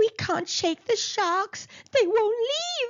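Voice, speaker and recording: A woman does a squeaky put-on character voice at an extremely high pitch, speaking very slowly. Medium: read story. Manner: hesitant, murmuring.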